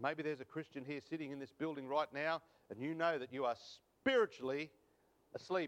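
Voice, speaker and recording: A man with an Australian accent talks at a fairly quick pace in a fairly high pitch, his pitch varying in an ordinary way. He leaves long, frequent pauses. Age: 50s. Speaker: preacher. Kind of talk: sermon. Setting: church.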